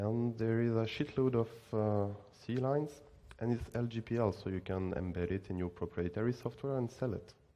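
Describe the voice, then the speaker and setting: Speaking with a French accent, a man uses a dark, mellow tone at a medium pitch, with ordinary pitch variation and a moderate pace. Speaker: student and conference speaker. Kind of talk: conference talk.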